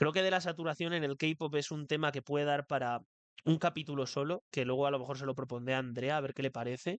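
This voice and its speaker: In a dry, close recording with no echo, a man speaks very fast with fairly even intonation. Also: fairly high pitch for a man. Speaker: podcast host. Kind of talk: solo podcast monologue. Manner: occasionally stumbling over words.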